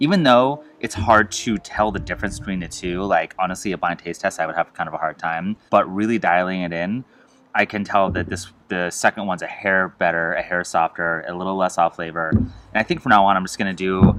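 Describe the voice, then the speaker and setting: Mumbled speech at a fairly quick pace with ordinary pitch variation, against a quiet background. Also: man, very deep, low pitch for a man. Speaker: homebrewer reviewing own beer. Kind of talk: casual tasting review. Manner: fast; mumbling.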